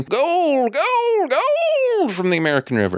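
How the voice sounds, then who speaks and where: A gravelly, put-on character voice from a man, extremely high in pitch, at a fairly slow pace. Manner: excited shouting.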